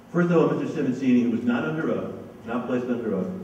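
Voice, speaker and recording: Over noticeable background noise and audible room echo, this man's voice sits at a medium pitch and shows ordinary pitch variation. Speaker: local activist / former rent control board chair. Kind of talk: public talk to an audience. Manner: fast; hesitant, with many fillers.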